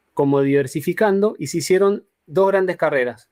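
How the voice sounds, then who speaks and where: A man with an Argentine accent at a fairly slow pace, ordinary pitch variation, and a dry, close sound with no echo. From Argentina, Mendoza. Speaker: graphic designer. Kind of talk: interview. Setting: video call. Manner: halting.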